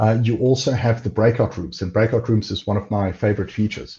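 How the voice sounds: A man talks at a fairly quick pace in a fairly low pitch, his dark, mellow tone carrying a husky, rough edge and ordinary pitch variation.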